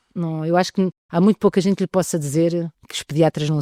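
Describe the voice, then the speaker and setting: A woman with a very deep, low pitch and a dark, mellow tone talks at a very fast pace, the sound dry and close with no echo. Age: 60s. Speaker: pediatrician. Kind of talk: interview. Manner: halting.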